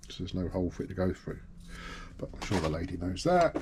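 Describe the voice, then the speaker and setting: A man talks at a very fast pace in a very deep, low pitch. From UK. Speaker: sewing machine repairer. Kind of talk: tutorial. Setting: workshop. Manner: casual.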